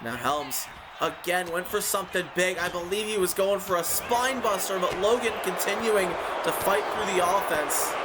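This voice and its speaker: A man speaks in a high pitch with ordinary pitch variation at a moderate pace. Noticeable background noise and audible room echo are present. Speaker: wrestling show commentator. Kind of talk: live commentary. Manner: slurring words.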